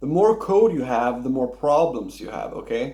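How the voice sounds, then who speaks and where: A man with a non-native accent speaks in a fairly high pitch with lively intonation. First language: not English. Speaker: programmer vlogger. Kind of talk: casual opinion monologue. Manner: halting, many fillers.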